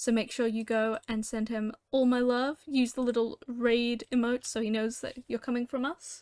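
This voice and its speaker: A woman with a high pitch speaks at a fairly slow pace on a very clean recording with a silent background and a dry, close sound with no echo. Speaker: video game streamer. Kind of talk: casual gameplay livestream chat. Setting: home streaming setup with headset. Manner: loud.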